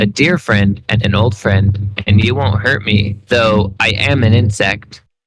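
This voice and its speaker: Using a put-on character voice, a man speaks at a fairly low pitch and a fairly slow pace. His intonation is fairly even and his loudness very even. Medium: read story. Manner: wistful, plaintive.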